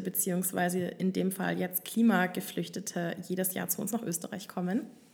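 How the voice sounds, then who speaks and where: Against noticeable background noise, a woman talks at a fairly quick pace in a medium pitch. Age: 20s. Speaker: student podcast host. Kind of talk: casual chat. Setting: studio.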